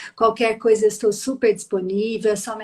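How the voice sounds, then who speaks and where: A woman's fairly high voice with a dark, mellow tone, a Minas Gerais accent and flat, monotone intonation. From Minas Gerais, Brazil. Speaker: psychologist. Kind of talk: live stream interview.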